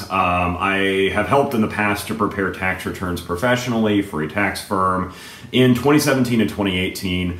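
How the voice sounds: A man speaks at a low pitch with a fairly bright tone. He leaves few pauses. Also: ordinary pitch variation, moderate pace.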